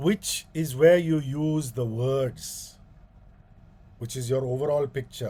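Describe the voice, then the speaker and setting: Somewhat breathy, with a dark, mellow tone, a man speaks at a very slow pace and fairly high pitch, with ordinary pitch variation and long, frequent pauses. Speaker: radio presenter giving a guest talk. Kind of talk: talk to a club via video call.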